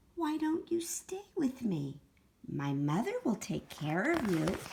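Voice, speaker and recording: A woman does a put-on character voice, pitched high with very wide pitch swings. She delivers it at a fairly slow pace. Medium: read story.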